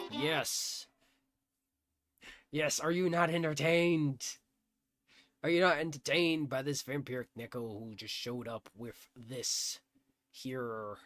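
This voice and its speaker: In a put-on character voice with a very deep, low pitch, a woman speaks at a fairly slow pace, leaving long, frequent pauses on a very clean recording with a silent background. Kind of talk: comic overacting. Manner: grandiose, mock-menacing, playful.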